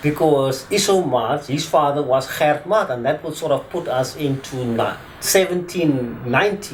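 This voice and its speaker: Noticeable background noise runs under this clip. A man speaks at a fairly slow pace with a fairly high pitch. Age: 50s. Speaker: attorney. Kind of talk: interview testimony. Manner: hesitant.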